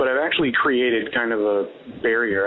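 Over noticeable background noise, a man talks at a very fast pace with monotone, flat intonation. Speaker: caller. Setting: phone call.

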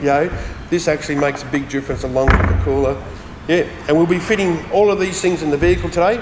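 A man talks at a fairly quick pace with ordinary pitch variation. Noticeable background noise sits behind him. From Australia. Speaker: transmission specialist. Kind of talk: product demonstration. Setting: workshop. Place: workshop.

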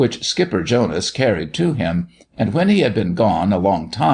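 Someone reads in an unforced reading voice.

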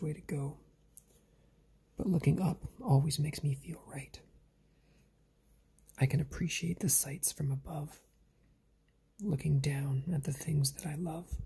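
Soft-spoken, fairly slow delivery broken by long, frequent pauses. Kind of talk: reflective spoken-word monologue.

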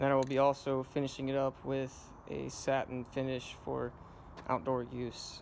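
Against light background noise, a man talks in a monotone, with flat intonation. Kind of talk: tutorial. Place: garden. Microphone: phone near.

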